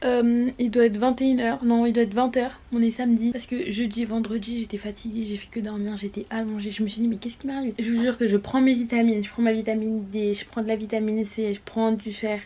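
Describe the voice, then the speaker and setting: A woman rushes along at a very fast pace with hardly any pauses, in a fairly high, monotone, flat voice. Noticeable background noise sits behind her. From Gabon. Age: 20s. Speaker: lifestyle vlogger. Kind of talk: casual talk to camera.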